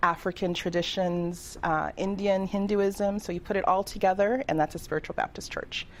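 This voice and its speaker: A woman uses an ordinary speaking voice at medium pitch and a moderate pace. Her intonation is fairly even, with hardly any pauses. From Toronto, Canada (born in Trinidad). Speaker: reverend and life coach. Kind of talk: radio interview.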